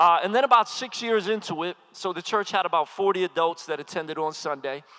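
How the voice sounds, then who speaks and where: An energetic man with a high pitch, a fairly quick pace and a bright, sharp tone. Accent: slight Philadelphia. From Philadelphia, US. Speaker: pastor and hip-hop artist. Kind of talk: sermon. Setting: stage with audience.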